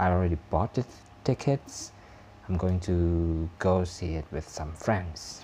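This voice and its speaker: On a very clean recording with a silent background, a man with a non-native accent talks at a very deep, low pitch, somewhat breathy, with ordinary pitch variation. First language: not English. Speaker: YouTube vlogger. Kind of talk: casual vlog monologue. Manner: halting, many fillers.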